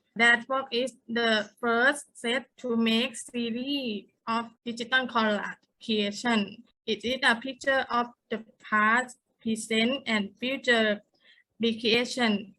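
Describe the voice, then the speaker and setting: Very slowly and in a monotone, flat intonation, a woman speaks with a fairly high pitch and a bright, sharp tone. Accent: Thai. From Thailand. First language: Thai. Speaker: artist, university teacher. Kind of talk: panel artist talk.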